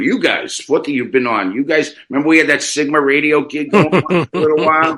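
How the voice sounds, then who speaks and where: A man talks at a fairly quick pace. He hardly pauses at all. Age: 60s. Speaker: radio host. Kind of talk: interview conversation.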